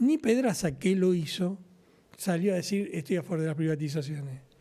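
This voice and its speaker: On a very clean recording with a silent background, a man with a Rioplatense accent speaks at a fairly quick pace, his high pitch paired with a dark, mellow tone. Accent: Argentine Rioplatense Spanish. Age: 60s. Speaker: trade union leader. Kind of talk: political talk show discussion. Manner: animated.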